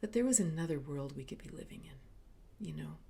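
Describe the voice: A woman speaks at a low pitch with a dark, mellow tone. Her pace is moderate, with vocal fry.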